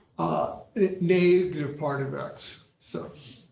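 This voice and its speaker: Very slow speech with audible room echo. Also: man. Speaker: mathematics professor. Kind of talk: lecture. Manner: halting.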